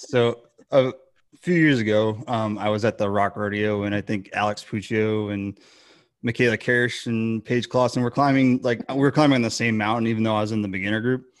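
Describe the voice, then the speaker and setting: A man with an unremarkable speaking voice talks at a fairly quick pace, his pitch medium and his intonation fairly even. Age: 40s. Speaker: podcast co-host. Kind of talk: casual interview.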